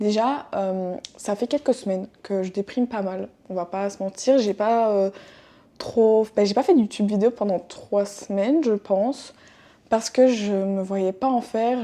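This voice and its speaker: The woman's pitch sits in the middle range and varies in an ordinary way. She talks rather slowly. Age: 20s. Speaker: podcaster. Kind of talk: casual monologue. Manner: hesitant with many fillers.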